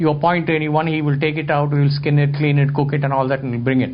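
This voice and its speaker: Audible room echo follows a man who talks at a very fast pace and a fairly high pitch. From India. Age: 60s. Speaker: photographer and lecturer. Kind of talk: talk to an audience, storytelling.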